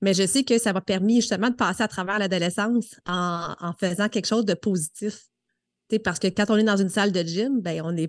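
A woman has a plain, everyday voice at a medium pitch, with fairly even intonation and a fairly quick pace. The sound is dry and close with no echo over a quiet background. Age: 30s. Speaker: fitness coach. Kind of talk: casual chat.

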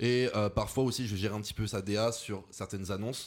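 An unremarkable speaking voice with fairly even intonation comes through on a very clean recording with a silent background. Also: man. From France, Lyon. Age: 20s. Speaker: content creator. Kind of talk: casual chat.

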